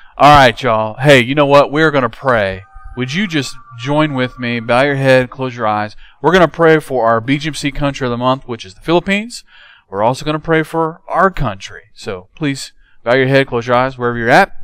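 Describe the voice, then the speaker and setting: The voice is male, moving at a moderate speed with pitch that rises and falls in an ordinary way. No echo colors the dry recording, and nothing stirs behind it. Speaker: kids church pastor. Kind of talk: prayer. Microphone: handheld.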